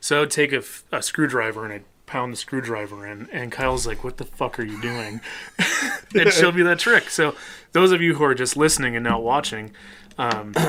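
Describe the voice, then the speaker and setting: Against noticeable background noise, the speaker talks at a fairly quick pace with a Midwestern accent. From US Midwest. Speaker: podcast co-host and band musician. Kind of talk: casual chat.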